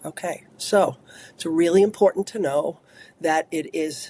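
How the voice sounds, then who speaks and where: In an American accent, a woman talks at a fairly slow pace with a fairly low pitch, ordinary pitch variation, a dark, mellow tone and a dry, close sound with no echo. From Long Island, New York. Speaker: trauma therapist and author. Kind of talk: interview.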